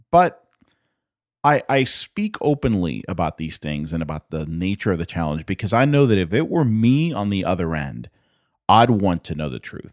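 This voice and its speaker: Very wide pitch swings at a moderate pace, in a very clean recording with a silent background and a dry, close sound with no echo. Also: man, very deep, low pitch for a man. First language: not English. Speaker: podcast host. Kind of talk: solo podcast monologue.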